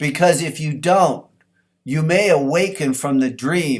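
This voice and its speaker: Here a man speaks at a fairly high pitch. His pitch variation is ordinary. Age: 60s. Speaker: personal development speaker. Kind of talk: motivational talk.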